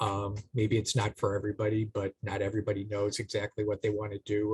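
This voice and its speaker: Speaking fairly quickly with a Boston accent, a man sounds somewhat breathy in a fairly low pitch. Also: dry, close sound with no echo. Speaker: AmeriCorps program manager, panelist. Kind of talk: career panel talk.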